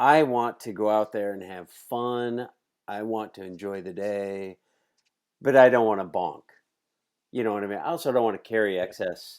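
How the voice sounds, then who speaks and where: The speaker goes at a moderate pace with ordinary pitch variation, leaving long, frequent pauses. Loudness swings widely, and the recording is very clean over a silent background. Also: man, fairly low pitch for a man. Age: 60s. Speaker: podcast host. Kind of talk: casual podcast interview.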